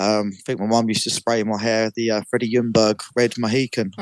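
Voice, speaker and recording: A man at medium pitch with a London accent, fairly quick in pace. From North London. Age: 20s. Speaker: amateur footballer. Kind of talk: interview. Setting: radio show.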